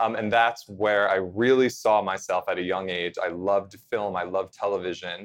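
A man with a plain, everyday voice, fairly low in pitch, with an American accent, a moderate pace and fairly even intonation. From central New Jersey. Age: 30s. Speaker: TV host and correspondent. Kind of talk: casual interview chat.

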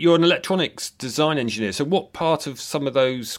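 Ordinary pitch variation runs through a man's speech at a moderate pace. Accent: English. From Britain. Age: middle-aged. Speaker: podcast host, professor of acoustic engineering. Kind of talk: interview. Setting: remote recording.

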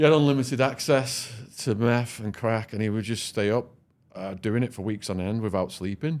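With a northern English accent, a man talks at a moderate pace with ordinary pitch variation. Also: medium pitch for a man. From northern England. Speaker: former drug dealer and podcaster. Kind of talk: storytelling interview. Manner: animated.

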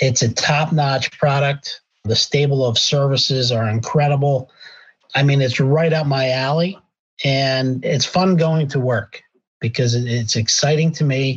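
A man with an American accent has a fairly high-pitched, somewhat breathy voice and very even loudness. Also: fairly even intonation, fairly slow pace. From Pennsylvania. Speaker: healthcare executive. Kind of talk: interview.

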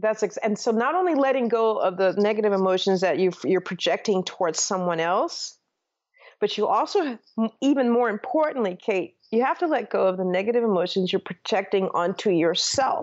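A woman with an American accent speaks in a normal speaking voice at a fairly quick pace and medium pitch. Her intonation is lively while her loudness stays very even. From Minnesota, Saint Paul. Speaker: former TV journalist and author. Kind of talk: interview.

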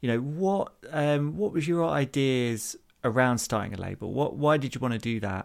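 A man with a normal speaking voice talks at a moderate pace, his medium pitch carried by lively intonation. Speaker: podcast host. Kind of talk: interview conversation.

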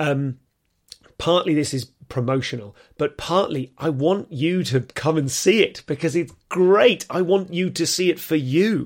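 A man with an English accent speaks at a fairly high pitch with ordinary pitch variation in a very clean recording with a silent background. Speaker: comedian and podcast host. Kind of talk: casual monologue to listeners. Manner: fast, excited.

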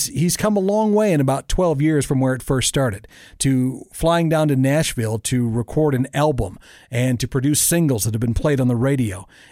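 With lively intonation and a fairly high pitch, a man with an unremarkable speaking voice speaks at a moderate pace in a very clean recording with a silent background. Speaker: podcast host. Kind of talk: casual interview chat. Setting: studio.

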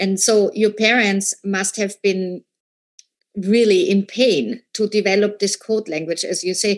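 A woman speaks at a fairly slow pace in a normal speaking voice. Her medium pitch follows fairly even intonation. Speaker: interviewer. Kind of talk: interview. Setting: stage with audience.

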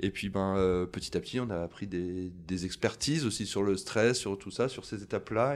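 A man at a fairly low pitch with a plain, everyday voice, a moderate pace and ordinary pitch variation, on a very clean recording with a silent background. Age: 40s. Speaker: bar franchise co-founder. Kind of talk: interview.

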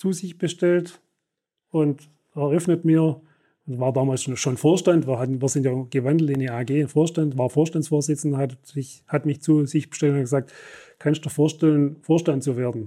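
Man's dark, mellow voice with fairly even intonation on a very clean recording with a silent background. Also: fairly high pitch for a man, moderate pace. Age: 60s. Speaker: company executive. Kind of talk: interview. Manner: halting.

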